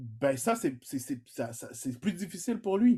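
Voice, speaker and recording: The pace of this man's speech is fairly slow. Very wide swings run through his pitch. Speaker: pastor. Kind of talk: sermon. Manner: halting, many repetitions and fillers.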